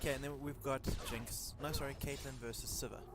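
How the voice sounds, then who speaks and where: There is music in the background as a man speaks at a moderate pace, with audible room echo. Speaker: esports shoutcaster. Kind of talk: live commentary. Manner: soft-spoken; halting. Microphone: poor mic quality, breathing feedback.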